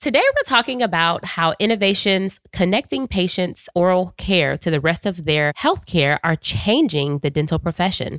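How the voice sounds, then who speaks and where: In an unremarkable speaking voice, a woman with medium pitch and lively intonation talks at a moderate pace with hardly any pauses, the sound dry and close with no echo. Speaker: podcast host. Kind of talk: podcast conversation.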